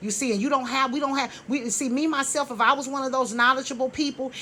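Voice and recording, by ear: The woman's tone is bright and sharp. She speaks at a fairly quick pace.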